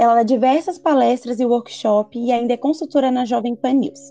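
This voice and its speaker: Moderate pace, in a dry, close sound with no echo. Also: woman. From Brazil, urban periphery. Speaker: podcast host. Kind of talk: casual interview chat.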